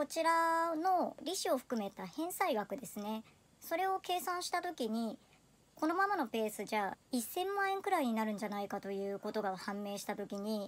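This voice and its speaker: Speaking at a moderate pace, the voice makes very wide pitch swings. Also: woman, high pitch for a woman. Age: 30s. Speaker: personal finance vlogger. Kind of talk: personal video monologue. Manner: polite. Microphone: phone near.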